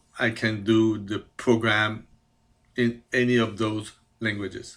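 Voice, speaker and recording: Speaking very slowly in a Quebec accent, the voice keeps a fairly even intonation. The recording is very clean, with a silent background. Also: man. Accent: French Canadian accent in English. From Quebec, Canada. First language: French. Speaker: CAD programmer. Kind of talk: self-presentation. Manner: halting, many fillers.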